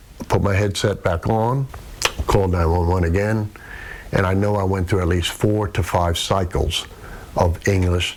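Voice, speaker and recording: A man with a very deep, low pitch speaks at a moderate pace with fairly even intonation and very even loudness, against noticeable background noise. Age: 60s. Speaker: retired fire captain. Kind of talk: interview.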